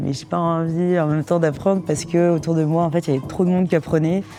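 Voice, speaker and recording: Her voice is very deep and low for a woman. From Paris region, France. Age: 20s. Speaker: couple telling their love story. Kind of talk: casual interview-style storytelling.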